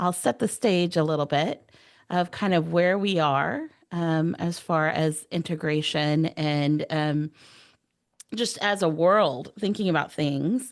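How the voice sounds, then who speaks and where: Against a quiet background, a woman with an American accent speaks very slowly at a fairly low pitch. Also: ordinary pitch variation. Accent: Texas accent, stronger when excited. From Texas. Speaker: AI strategist, education speaker. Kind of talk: presentation to online workshop. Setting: video call.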